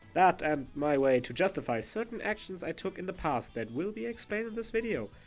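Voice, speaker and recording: Over music in the background, a man talks in a playful tone at a moderate pace, his pitch swinging very widely. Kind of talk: storytime narration. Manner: casual, playful.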